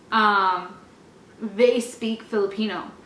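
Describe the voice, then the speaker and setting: A woman with an American accent speaks at a fairly high pitch with ordinary pitch variation. Room echo and noticeable background noise are audible. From California (Orange, Anaheim). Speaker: lifestyle vlogger. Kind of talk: casual chat.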